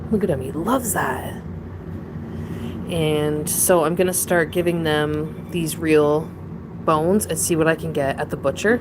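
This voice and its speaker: Against noticeable background noise, the speaker goes at a fairly slow pace with long, frequent pauses. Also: woman, very deep, low pitch for a woman, ordinary pitch variation. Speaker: pet owner streaming about her opossums. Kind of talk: casual livestream chat. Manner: rambling, halting with restarts.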